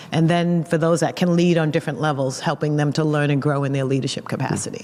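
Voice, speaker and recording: Over noticeable background noise, a woman with a Boston accent talks at a very fast pace in a very deep, low pitch with very even loudness. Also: fairly even intonation. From Boston, Massachusetts. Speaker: pastor and seminary teacher. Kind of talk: interview conversation. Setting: recorded at a conference.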